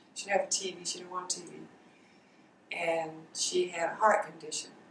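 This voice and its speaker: A woman with a medium-pitched voice speaks at a moderate pace over noticeable background noise. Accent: South Carolina. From US South, Darlington, South Carolina. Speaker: college alumna, oral history interviewee. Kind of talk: oral history interview.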